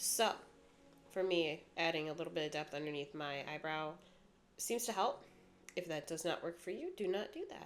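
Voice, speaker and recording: With music playing in the background, a woman with a fairly low pitch speaks at a moderate pace, using ordinary pitch variation and long, frequent pauses. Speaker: makeup artist. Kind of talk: makeup tutorial voiceover. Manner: casual, chatty.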